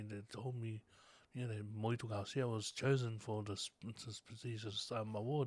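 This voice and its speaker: A man with a Tongan accent speaks at a moderate pace in a medium pitch. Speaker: visual artist. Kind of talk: casual interview chat. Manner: halting.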